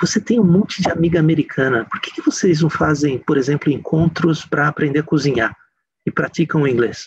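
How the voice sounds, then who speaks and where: With a Brazilian accent, a man talks at a moderate pace in a fairly high, somewhat breathy voice with ordinary pitch variation. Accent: speaks English with a Brazilian. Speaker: speaker. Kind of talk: lecture.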